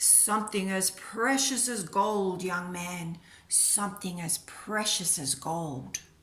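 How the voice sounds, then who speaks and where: A woman puts on a booming, raspy character voice at a medium pitch, speaking at a fairly slow pace. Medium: read story.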